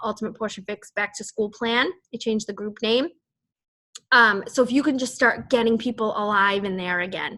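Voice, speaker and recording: A bright, sharp tone in a Boston accent, with fairly even intonation. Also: woman. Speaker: fitness team coach. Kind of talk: team call briefing. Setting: group call. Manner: casual, rambling with fillers.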